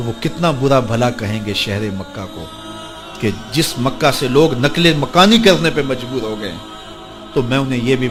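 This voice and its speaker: Music plays in the background as a man talks. His medium-pitched voice has lively intonation. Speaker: Islamic scholar preacher. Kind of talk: Islamic sermon telling a story to an audience.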